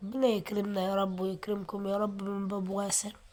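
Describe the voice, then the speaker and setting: Here a woman talks at a moderate pace. Her voice has a medium pitch. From Aswan, Upper Egypt. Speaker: vlogger. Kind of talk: walking vlog. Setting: outdoors. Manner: prayerful, repetitive invocations.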